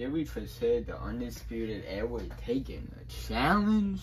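An animated tone from a man at a fairly slow pace. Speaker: stop-motion wrestling channel creator voicing figures. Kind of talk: wrestling promo, in-character scripted promos. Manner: animated, boastful, swaggering; loud, arena-style crowd-addressing delivery.

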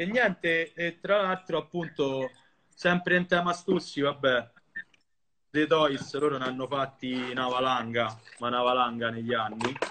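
Pausing long and often, a man talks at a fairly slow pace in a fairly high voice with ordinary pitch variation. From Rome, Italy (Monteverde); Italy. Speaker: streetwear collector, account manager; guest. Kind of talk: casual chat; casual live-stream chat. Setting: video call from home, on phone. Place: home room. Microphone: phone near.

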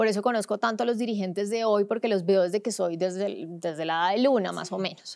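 Against a quiet background, a woman of medium pitch speaks very fast with ordinary pitch variation and hardly any pauses. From Colombia, Cúcuta (border region); Colombia. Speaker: sports journalist; sports journalist guest. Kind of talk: podcast interview. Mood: engaged, passionate. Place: studio. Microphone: studio mic.

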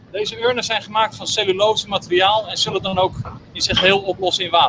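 There is light background noise behind this speaker. A man talks at a moderate pace in a high voice. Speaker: funeral service guide. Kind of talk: guided tour explanation. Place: boat. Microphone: camera far.

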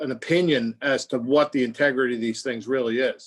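A man at medium pitch and a fairly quick pace, with a slightly husky edge and fairly even intonation.

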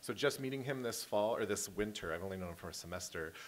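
Over light background noise, a man with a fairly low pitch speaks at a very fast pace. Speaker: high school teacher. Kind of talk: award ceremony tribute speech. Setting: school auditorium with audience. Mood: warm, smiling, jovial. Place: hall. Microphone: podium.

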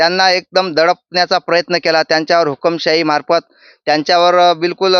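A high-pitched man with a bright, sharp tone comes through a dry, close sound with no echo over a quiet background. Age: 30s. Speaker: local politician, youth party leader. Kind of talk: political interview.

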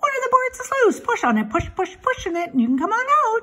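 A woman uses a put-on character voice with an extremely high pitch. Her pace is moderate. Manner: talking rather fast, stuttering repetition.

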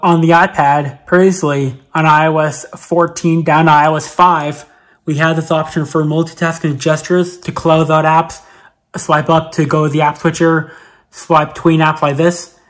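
The speaker goes at a fairly slow pace. The background is quiet. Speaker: tech reviewer. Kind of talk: tutorial. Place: home room.

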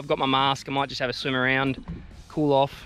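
A man talking at a fairly quick pace, dry sound with no echo, music in the background. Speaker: fishing vlogger. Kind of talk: casual vlog chat. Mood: relaxed, upbeat. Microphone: phone near.

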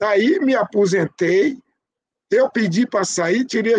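A man is speaking. His pitch is high. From Brazil, Bahia. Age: 70s. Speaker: capoeira master and community radio host; community radio host. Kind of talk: life story interview. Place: home room. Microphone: video call.

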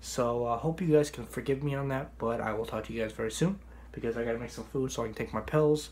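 Speaking at a very fast pace, a man talks in a medium-pitched, somewhat breathy voice with ordinary pitch variation. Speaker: vlogger. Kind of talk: casual vlog monologue. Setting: kitchen at home. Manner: casual.

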